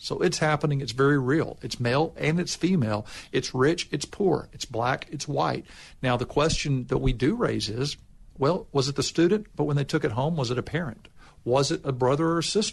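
The voice is somewhat breathy, moving at a moderate pace with ordinary pitch variation. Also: man, fairly high pitch for a man. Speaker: state official. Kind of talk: interview answers.

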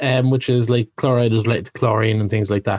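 Ordinary pitch variation from a man with an Irish accent. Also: dry, close sound with no echo. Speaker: podcast co-host, holistic therapist. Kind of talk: casual chat.

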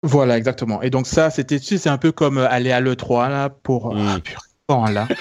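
A man with an unremarkable speaking voice talks at a moderate pace in a medium pitch with ordinary variation. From France. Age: 30s. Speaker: tech podcast co-founder. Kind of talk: casual chat.

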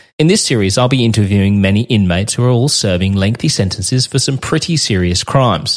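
On a very clean recording with a silent background, a man with an Australian accent talks fairly quickly at a medium pitch, his intonation lively. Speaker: radio host turned true crime podcaster. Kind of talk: interview and scripted podcast narration.

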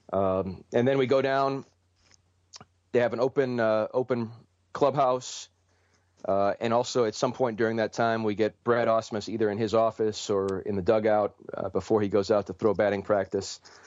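Moderate pace and fairly even intonation, with a Midwestern US accent. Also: man, medium pitch for a man. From Ohio, Cleveland. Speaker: sports journalist. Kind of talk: interview. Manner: halting, many repeated words.

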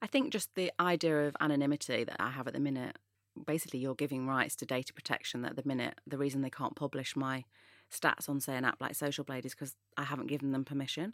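Speaking very fast in a Mancunian accent, a woman with a very deep, low pitch is heard in a dry, close sound with no echo on a very clean recording with a silent background. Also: fairly even intonation. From northern England, Manchester. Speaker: influencer. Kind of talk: interview.

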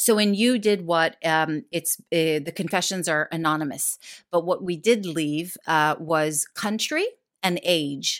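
With an American accent, a woman talks at a fairly slow pace, her fairly low voice showing ordinary pitch variation. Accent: American-sounding English. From Israel. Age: 40s. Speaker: actress and comedian. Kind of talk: casual chat. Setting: remote interview from northwest London.

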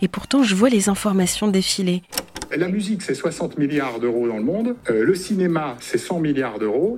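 A woman's fairly low voice with very wide pitch swings, against noticeable background noise. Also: moderate pace. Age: 20s. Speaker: podcast host. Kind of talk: scripted narration.

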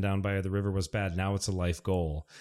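A man with an American accent talks at a very fast pace in a fairly low pitch, recorded very cleanly against a silent background. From Michigan (Detroit). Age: 40s. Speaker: hiking blogger and performer. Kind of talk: casual chat.

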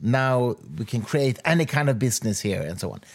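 A man speaks at medium pitch with a Swedish accent. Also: very clean recording, silent background. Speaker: podcast host. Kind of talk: interview.

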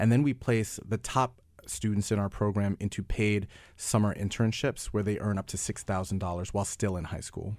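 A man's normal speaking voice, fairly low in pitch, with an American accent, fairly even intonation and a moderate pace, on a very clean recording with a silent background. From New York. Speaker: nonprofit founder. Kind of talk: interview. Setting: studio.

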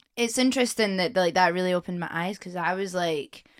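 In a Scottish accent, a woman speaks at a moderate pace. Her pitch variation is ordinary. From Scotland, Edinburgh. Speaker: singer-songwriter. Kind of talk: casual chat. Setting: studio. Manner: animated.

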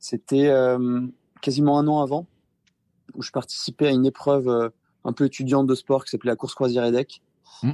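Recorded very cleanly against a silent background with a dry, close sound and no echo, a man speaks in a dark, mellow tone with monotone, flat intonation. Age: 20s. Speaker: amateur ultra-endurance cyclist. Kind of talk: interview. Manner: hesitant, many fillers.

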